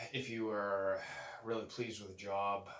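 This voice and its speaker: A man talks in a fairly low pitch with a bright, sharp tone and monotone, flat intonation. Room echo is audible. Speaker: moving company owner. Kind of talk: casual vlog talk. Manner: keeping voice low; hesitant, many fillers.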